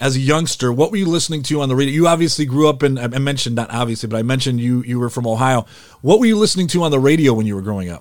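A man with an American accent and a medium pitch talks at a very fast pace with hardly any pauses and lively intonation, on a very clean recording with a silent background. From Detroit, Michigan. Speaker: podcast host, former radio broadcaster. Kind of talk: interview podcast.

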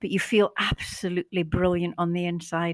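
Recorded very cleanly against a silent background, a woman with a Scottish accent sounds dry and close, with no echo. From Scotland. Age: 70s. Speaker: former head teacher and image consultant. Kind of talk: casual interview chat. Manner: hesitant, many filler words.

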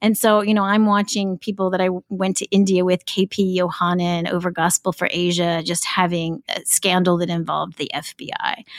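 In a normal speaking voice with hardly any pauses, the speaker moves at a fairly quick pace with fairly even intonation, recorded dry and close with no echo. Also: woman, medium pitch for a woman. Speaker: podcast co-host. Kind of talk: casual conversational podcast chat.

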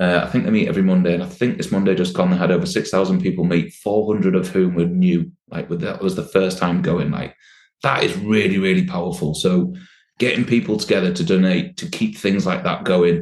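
A man speaks with a Yorkshire accent. His pace is fairly quick. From Yorkshire, northern England. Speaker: workplace well-being specialist. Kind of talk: casual chat.

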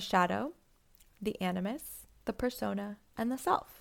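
On a very clean recording with a silent background, a woman speaks in a normal speaking voice at a medium pitch with lively intonation. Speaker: podcast host and psychotherapist. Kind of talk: solo podcast monologue on psychology.

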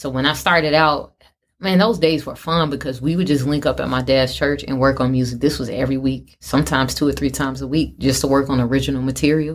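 With vocal fry, a woman speaks at a very fast pace in a very deep, low pitch and with fairly even intonation. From South Side of Chicago. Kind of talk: interview conversation.

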